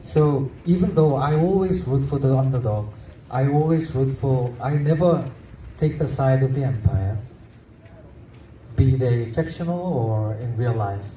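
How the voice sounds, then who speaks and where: With a Korean accent and ordinary pitch variation, a man speaks at a fairly slow pace amid audible room echo. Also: medium pitch for a man. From South Korea. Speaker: novelist. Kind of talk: literary festival panel discussion. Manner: halting, self-correcting.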